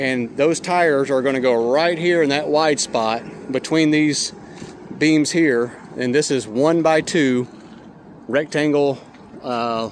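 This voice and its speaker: A man's fairly slow speech with long, frequent pauses, ordinary pitch variation, a dry sound with no echo and light background noise. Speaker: trailer repair person reviewing. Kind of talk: casual product review. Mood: critical, mildly animated. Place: street. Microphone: phone near.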